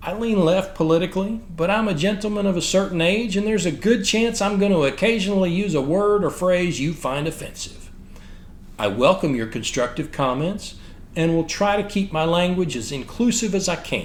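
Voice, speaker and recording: A man with a Texan accent talks at a moderate pace, his high pitch showing ordinary variation. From Texas. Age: 50s. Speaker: military history podcaster. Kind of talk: scripted narration.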